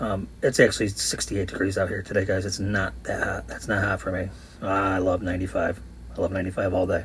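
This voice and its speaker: Very fast in pace, a man speaks with ordinary pitch variation. His voice is very deep and low. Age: 50s. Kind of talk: voice-over commentary.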